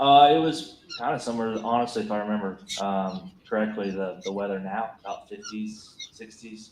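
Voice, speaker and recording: A man with a fairly low pitch talks at a moderate pace with hardly any pauses, ordinary pitch variation and big swings in loudness over noticeable background noise. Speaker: police officer witness. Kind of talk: courtroom testimony. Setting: courtroom.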